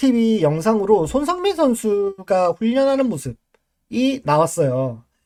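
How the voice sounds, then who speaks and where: Man with a high pitch, very slow pace, and very wide pitch swings. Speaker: baseball commentary livestreamer. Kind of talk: casual live-stream talk.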